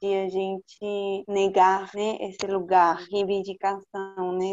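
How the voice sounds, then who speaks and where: Speaking very slowly, a woman uses a medium pitch. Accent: Spanish. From Peru, Lima. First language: Spanish (speaking Portuguese). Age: 20s. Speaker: visual artist. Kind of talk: casual interview.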